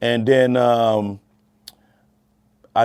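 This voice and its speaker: A man is heard speaking. His voice has a medium pitch. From Louisiana, Port Allen near Baton Rouge. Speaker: music producer and studio engineer. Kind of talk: interview storytelling. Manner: casual, conversational with fillers.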